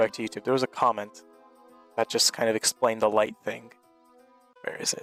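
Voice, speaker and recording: Over music in the background, a man talks at a fairly quick pace with a dry, close sound and no echo. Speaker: podcast host and gaming content creator. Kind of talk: casual banter in a comedic gaming podcast.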